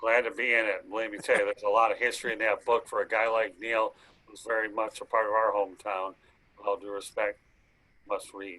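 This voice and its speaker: Speaking at a fairly quick pace with a Michigan accent, a man's voice swings widely in loudness. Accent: Midwestern US (Michigan). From Metro Detroit, Michigan. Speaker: sports talk show host. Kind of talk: sports talk broadcast. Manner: fast.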